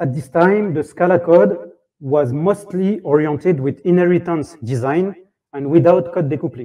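Someone speaks at a fairly slow pace with a French accent. Pitch variation is ordinary, and the background is quiet. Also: man. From France. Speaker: software tech lead. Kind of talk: conference talk. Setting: stage with audience. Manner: halting.

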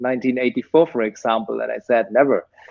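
Someone with a German accent speaks at a fairly slow pace over a quiet background. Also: man. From Germany. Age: 40s. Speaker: technology entrepreneur. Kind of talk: interview. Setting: video call. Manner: hesitant, many fillers. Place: home room. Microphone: video call.

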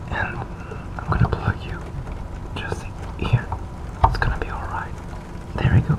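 Speech at a moderate pace under loud background noise. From France. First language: French. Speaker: hobbyist showing computer hardware. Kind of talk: casual talk to camera, unintentional ASMR. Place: home room. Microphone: phone near.

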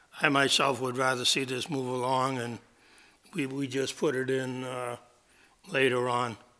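The speaker is a man. His voice comes across bright and sharp. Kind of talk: meeting chair remarks. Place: meeting room. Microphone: podium.

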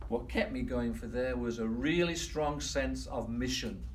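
At a fairly slow pace, a man speaks over light background noise. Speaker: workshop trainer. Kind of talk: motivational workshop talk. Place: meeting room. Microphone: camera far.

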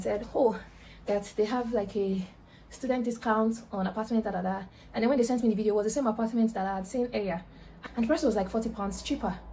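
Light background noise sits under very fast speech with ordinary pitch variation. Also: woman. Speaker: vlogger. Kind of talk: casual vlog chat. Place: home room. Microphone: phone near.

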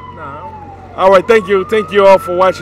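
A man talks at a moderate pace over loud background noise, the sound itself dry with no echo. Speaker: event host interviewer. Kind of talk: casual chat. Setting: outdoors. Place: street. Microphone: handheld.

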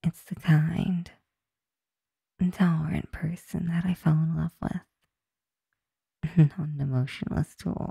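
A soft-spoken voice at a fairly slow pace, dry with no echo, against a quiet background. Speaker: roleplay voice actor reading a written script. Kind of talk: intimate comforting roleplay monologue. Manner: soft, tender, close comforting voice.

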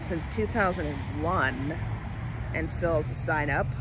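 A woman speaks fairly slowly in a dry sound with no echo, with noticeable background noise. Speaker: urban exploration vlogger. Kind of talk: casual vlog chat. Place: street. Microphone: phone near.

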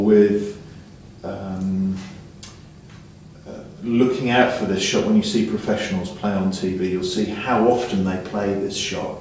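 Audible room echo and light background noise surround a man's voice. He speaks at a fairly low pitch with ordinary pitch variation. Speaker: snooker coach. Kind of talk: lesson instruction to a student.

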